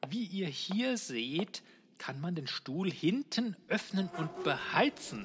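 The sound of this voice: A man's put-on character voice, high-pitched and slow, with big pitch swings, a fairly bright tone and a slightly husky edge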